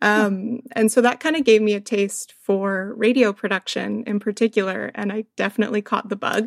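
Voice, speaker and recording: A woman with a Canadian accent and a fairly high pitch talks at a moderate pace with fairly even intonation and hardly any pauses, in a dry, close sound with no echo. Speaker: media producer and PhD researcher. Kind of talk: casual interview chat. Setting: video call.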